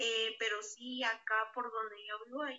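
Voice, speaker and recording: This woman's pitch sits fairly high and her intonation stays fairly even. She speaks at a fairly slow pace. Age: 20s. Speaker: interviewee. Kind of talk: interview. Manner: hesitant, many fillers.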